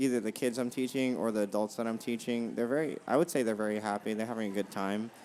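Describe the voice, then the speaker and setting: Soft-spoken and mumbling, a man at medium pitch talks at a very fast pace with hardly any pauses and fairly even intonation. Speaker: tennis coach. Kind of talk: casual chat.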